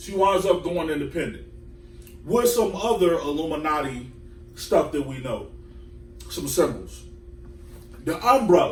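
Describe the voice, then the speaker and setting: A man with a high-pitched, lively voice speaks at a fairly slow pace, leaving long and frequent pauses, his loudness swinging widely, with audible room echo and noticeable background noise. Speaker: podcast host. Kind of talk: casual chat.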